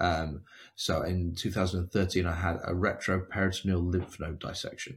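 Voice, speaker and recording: Very deep and low, this man's voice is somewhat breathy, with monotone, flat intonation. He keeps a moderate pace on a very clean recording with a silent background. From England, near London. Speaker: cancer survivor and motivational speaker. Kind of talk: casual interview, personal storytelling. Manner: talkative, hesitant with repeated words.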